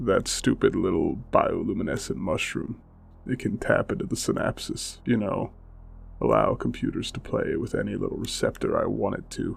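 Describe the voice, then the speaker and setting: A gruff, put-on character voice from a man at a moderate pace, with clear background noise. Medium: audio drama. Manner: calm and collected.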